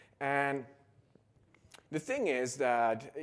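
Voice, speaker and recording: A man's fairly high-pitched voice with a Dutch accent. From Netherlands. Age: 30s. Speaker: conference speaker. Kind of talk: conference talk.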